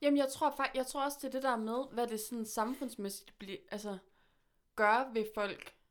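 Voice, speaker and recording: A woman talks at a high pitch with ordinary pitch variation, captured on a very clean recording with a silent background. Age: 20s. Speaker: musician. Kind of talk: casual chat. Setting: studio.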